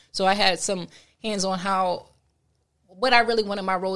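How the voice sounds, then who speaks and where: Speaking at a fairly quick pace with fairly even intonation, a woman with an American accent and medium pitch comes through on a very clean recording with a silent background. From Trenton, New Jersey. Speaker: sneaker artist. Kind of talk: casual interview.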